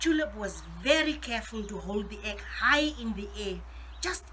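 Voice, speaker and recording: Noticeable background noise runs under the recording. A woman speaks over it at a moderate pace. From South Africa. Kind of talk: children's story reading.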